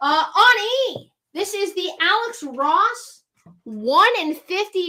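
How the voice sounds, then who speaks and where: A woman's raised, projected voice in an American accent, bright and sharp in tone, with very wide pitch swings. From New Jersey (Central). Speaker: comic shop live sale host. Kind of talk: live sales stream.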